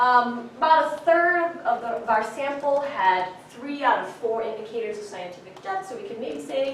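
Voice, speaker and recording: A woman's pitch swings very widely, with noticeable background noise and audible echo from the room. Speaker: science communication researcher. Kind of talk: academic lecture. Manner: fast.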